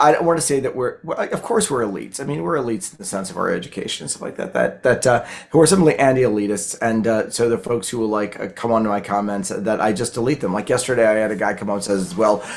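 A man with a Baltimore accent talks at a very fast pace with hardly any pauses. His intonation is lively. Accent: Baltimore American. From US, Baltimore, Maryland; Maryland. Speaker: public history lecturer. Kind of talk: conversational interview. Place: home room. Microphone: video call.

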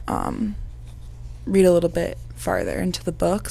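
Dry sound with no echo on a woman's voice. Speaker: vlogger. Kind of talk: casual vlog chat. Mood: calm, reflective, subdued. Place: home room. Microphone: lapel.

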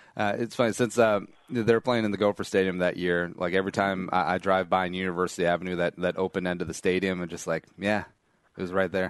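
Man with a very deep, low pitch, a very fast pace and a quiet background. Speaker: podcast host. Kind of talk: casual chat. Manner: animated.

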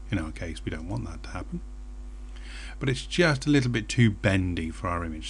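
Speaking in a British accent, a man keeps a moderate pace. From Britain. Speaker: software tutorial presenter. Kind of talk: screencast tutorial.

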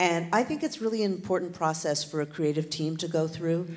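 Her pitch sits very deep and low. The speaker is a woman. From Canada. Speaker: documentary producer; panelist. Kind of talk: panel discussion. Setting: stage with audience. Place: stage. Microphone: handheld.

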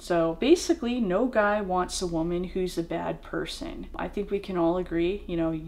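This woman talks at a moderate pace, barely pausing, with ordinary pitch variation. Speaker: vlogger. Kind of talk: casual vlog chat. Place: home room.

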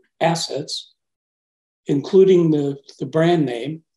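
A man speaks very slowly in a dark, mellow tone. The background is quiet, but room echo is audible. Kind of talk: interview answer. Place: office. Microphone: video call.

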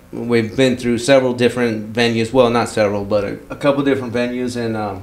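A man with an American accent talks at a fairly quick pace and medium pitch over noticeable background noise. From Southern California. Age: 40s. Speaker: car club member. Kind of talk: casual chat. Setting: home.

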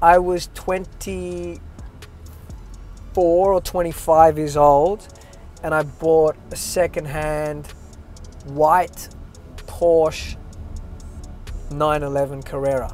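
Speaking at a very slow pace with long, frequent pauses and ordinary pitch variation, a man is heard in a dry sound with no echo over faint music in the background. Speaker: interview guest. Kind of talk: casual interview answer. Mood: relaxed, joking. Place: car.

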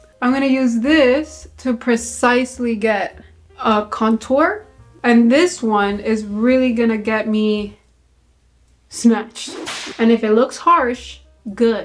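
With music in the background, a woman speaks at a very slow pace with ordinary pitch variation and long, frequent pauses. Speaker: beauty vlogger. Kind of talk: casual makeup tutorial chat. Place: bathroom. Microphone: phone near.

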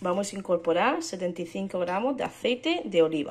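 At a fairly quick pace, a woman talks in a medium pitch with ordinary pitch variation over light background noise. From Murcia, Spain. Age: 20s. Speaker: mother and home cook vlogger. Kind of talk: recipe instructions. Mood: calm, friendly. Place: kitchen. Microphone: phone near.

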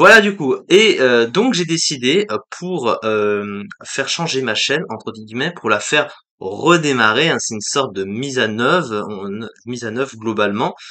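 Over a quiet background, the voice moves at a fairly slow pace with very wide pitch swings and a bright, sharp tone. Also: man, medium pitch for a man. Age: 20s. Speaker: YouTuber, let's play gamer. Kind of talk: channel presentation vlog to camera. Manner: halting, many fillers. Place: home room. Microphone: webcam.

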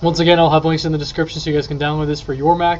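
Over light background noise, a man talks with monotone, flat intonation. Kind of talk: casual tech tutorial chat. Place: home room. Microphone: webcam.

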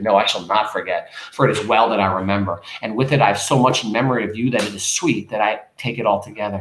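A man puts on a hoarse character voice, talking very fast at a fairly low pitch with fairly even intonation, audible echo and light background noise. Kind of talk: dramatic reading of a novel. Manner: sincere, tender. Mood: tender, earnest.

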